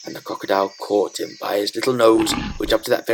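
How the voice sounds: A natural reading voice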